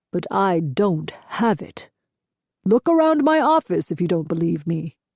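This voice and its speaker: Putting on a character voice, a woman speaks at a fairly low pitch. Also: moderate pace, dry, close sound with no echo. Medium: read story. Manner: measured, steady.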